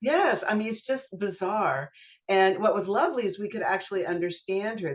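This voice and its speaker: Her intonation is lively as the woman speaks with an American accent. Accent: Californian (remarked on by others abroad). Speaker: memoir author. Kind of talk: casual interview chat.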